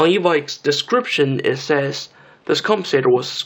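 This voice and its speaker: The speaker talks at a moderate pace with a Chinese accent. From China. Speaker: airsoft gun reviewer. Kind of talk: product review. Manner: hesitant, repetitive fillers.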